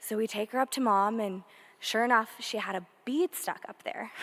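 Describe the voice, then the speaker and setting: On a very clean recording with a silent background, a woman speaks loudly at a fairly quick pace, fairly high in pitch with ordinary pitch variation. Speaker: older sister of a victim speaking at a memorial. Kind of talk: memorial tribute speech.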